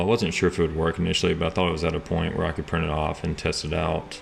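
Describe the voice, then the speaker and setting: A man talks at a very fast pace in a monotone, flat intonation and a very deep, low pitch, with noticeable background noise behind him. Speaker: 3D printing and product design youtuber. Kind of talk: tutorial narration. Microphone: small camera shotgun mic, sound worse when held far away.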